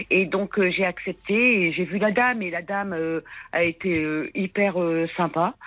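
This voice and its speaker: A woman at a medium pitch speaks fairly slowly with long, frequent pauses and ordinary pitch variation. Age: 60s. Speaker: caller. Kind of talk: testimony. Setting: phone call. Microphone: bad mobile connection.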